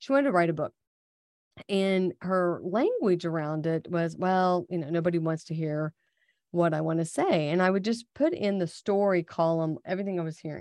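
A woman speaks at a moderate pace in a plain, everyday voice. The sound is dry and close, with no echo. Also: fairly low pitch for a woman, ordinary pitch variation, quiet background. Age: 50s. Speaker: podcast host and executive coach. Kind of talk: casual chat.

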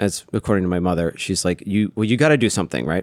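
In a plain, everyday voice, a man with an American accent speaks at a fairly low pitch with ordinary pitch variation, the sound dry and close with no echo on a very clean recording with a silent background. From Texas, Austin. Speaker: head brewer. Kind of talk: casual interview.

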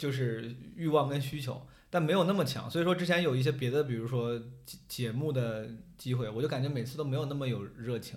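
Somewhat breathy speech at a fairly quick pace, with ordinary pitch variation. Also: man, medium pitch for a man. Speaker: stand-up comedian and debate show contestant. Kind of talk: casual chat. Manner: animated, joking.

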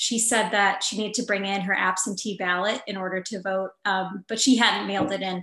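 A woman talks at a fairly quick pace in an unremarkable speaking voice. Her pitch is medium, and her intonation is fairly even. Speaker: reporter. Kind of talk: panel discussion. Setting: video call.

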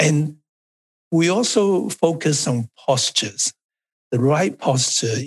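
A man with a Chinese accent speaks in a somewhat breathy voice. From China. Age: 70s. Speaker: Tai Chi instructor and family physician. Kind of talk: casual interview.

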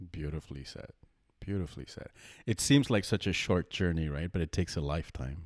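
The voice moves at a fairly quick pace with vocal fry and ordinary pitch variation. The recording is very clean, with a silent background. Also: man, very deep, low pitch for a man. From India. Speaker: podcast co-host. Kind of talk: casual chat.

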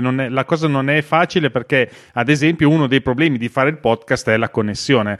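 A man's medium-pitched voice at a very fast pace, with ordinary pitch variation, in a dry, close sound with no echo. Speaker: podcast co-host. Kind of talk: casual chat. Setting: video call.

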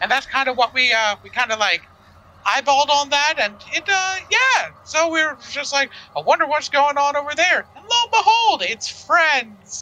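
A man's put-on character voice, extremely high in pitch, at a moderate pace. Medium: actual play. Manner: bubbly, rambling, upbeat.

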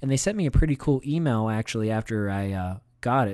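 Over a quiet background, the speaker has an American accent and a dark, mellow tone, talking at a moderate pace. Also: man. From Pennsylvania. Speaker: soccer podcast co-host. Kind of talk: casual chat.

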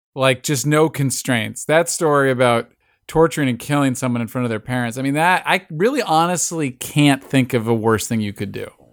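A man speaks in an unremarkable speaking voice, medium in pitch with ordinary variation. He takes hardly any pauses, on a very clean recording with a silent background. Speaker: podcast co-host. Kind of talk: casual chat.

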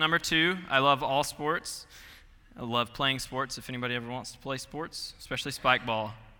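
A man's fairly high-pitched voice in an American accent, with music in the background. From Georgia, US South. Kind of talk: sermon. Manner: casual, friendly.

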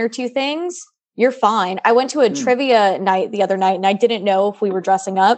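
Against a quiet background, a woman with a normal speaking voice talks at a fairly quick pace with lively intonation. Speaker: philosophy student. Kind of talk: casual chat.

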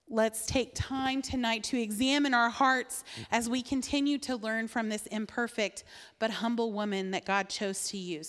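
At a moderate pace, a woman speaks in a plain, everyday voice that is fairly high in pitch, with fairly even intonation. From southern Indiana. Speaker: women's Bible teacher. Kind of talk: sermon.

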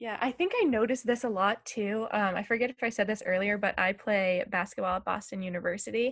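Racing along at a very fast pace with hardly any pauses, the speaker has an American accent and ordinary pitch variation. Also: woman. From Massachusetts, US. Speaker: university student. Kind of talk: casual interview.

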